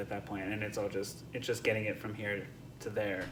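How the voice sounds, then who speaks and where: A soft-spoken man talks with a fairly low pitch. There is audible room echo and noticeable background noise. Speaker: composer. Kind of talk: interview answers. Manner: halting, many fillers and restarts.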